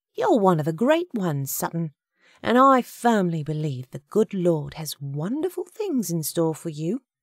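Putting on a character voice, a woman speaks fairly low in pitch with big pitch swings at a fairly slow pace, in a dry, close sound with no echo on a very clean recording with a silent background.

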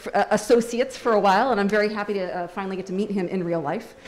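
Here a woman talks with ordinary pitch variation. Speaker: professor moderating Q&A. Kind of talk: moderating Q&A. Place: hall. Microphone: handheld.

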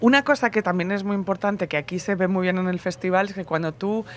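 A woman's medium-pitched voice, dry with no echo, over light background noise. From Barcelona, Spain; Spain. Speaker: podcast host and festival presenter; podcast host interviewed. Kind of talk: casual interview chat. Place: garden. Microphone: handheld.

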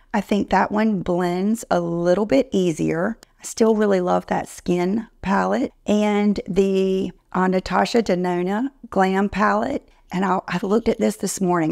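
A woman talks at a fairly slow pace and a medium pitch, with fairly even intonation, a slightly mellow tone and vocal fry. The recording is very clean, with a silent background.

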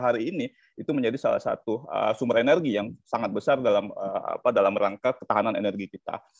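A man speaks at a very fast pace with hardly any pauses. The background is quiet and the sound is dry, with no echo. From South Sumatra, Indonesia. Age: 30s. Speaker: energy law expert, lecturer; lecturer. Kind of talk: webinar panel presentation. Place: home room. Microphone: video call.

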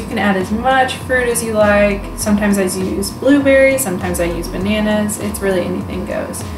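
A woman's fairly quick speech with hardly any pauses, ordinary pitch variation, and music in the background. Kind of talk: tutorial. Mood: upbeat and playful. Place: home room.

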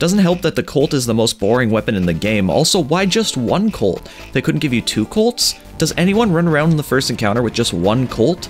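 A man with a medium pitch talks at a fairly quick pace, his pitch swinging very widely while his loudness stays very even over background music. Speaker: game reviewer. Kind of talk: game review voiceover. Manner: sardonic, casual.

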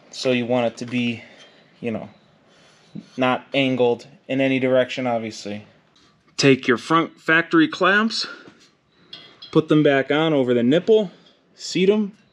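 Long, frequent pauses mark a man's speech at a fairly slow pace. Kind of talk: tutorial. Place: garage. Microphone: phone near.

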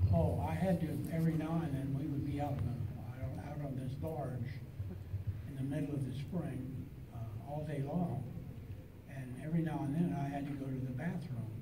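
Over noticeable background noise, a man with a fairly high pitch and ordinary pitch variation speaks at a moderate pace with long, frequent pauses. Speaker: film actor and underwater stunt performer. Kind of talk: convention panel interview answer. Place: hall.

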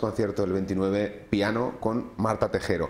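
Audible room echo around a male speaker. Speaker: magazine host. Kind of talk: TV magazine presenting and interviewing. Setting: studio. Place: studio.

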